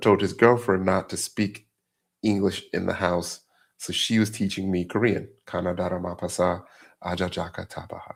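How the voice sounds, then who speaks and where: Someone with an American accent talks at a moderate pace on a very clean recording with a silent background. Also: man. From US South and Massachusetts (Revere). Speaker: cybersecurity instructor and company founder. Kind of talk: livestream course wrap-up and Q&A. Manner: casual, conversational.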